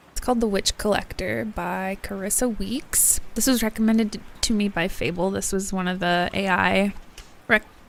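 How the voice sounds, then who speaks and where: Speech at a medium tempo with normal pitch movement comes through noticeable background noise. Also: woman, medium pitch for a woman. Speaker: book streamer. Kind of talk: casual livestream chat. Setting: livestream. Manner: chatty, hesitant with many fillers; loud.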